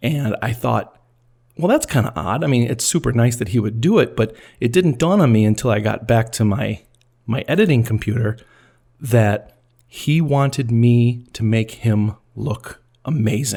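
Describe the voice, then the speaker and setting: A man's somewhat breathy voice with a dark, mellow tone and a medium pitch. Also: ordinary pitch variation, moderate pace, very clean recording, silent background. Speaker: podcast host and film editor. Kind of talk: scripted narration. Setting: recorded at a microphone. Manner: edited, stumbles removed.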